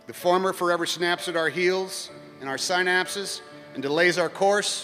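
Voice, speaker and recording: A high-pitched man with an American accent at a moderate pace, fairly even in intonation, with music in the background. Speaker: actor and commencement speaker. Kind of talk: commencement speech to a live audience.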